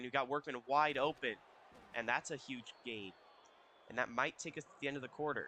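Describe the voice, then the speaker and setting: This man's voice is fairly high-pitched, with a bright, sharp tone. He speaks at a fairly quick pace. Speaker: gaming youtuber. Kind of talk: gameplay commentary. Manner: casual.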